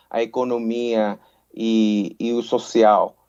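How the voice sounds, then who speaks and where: A man speaks against a quiet background. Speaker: forest service official. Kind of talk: panel discussion. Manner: halting, many fillers.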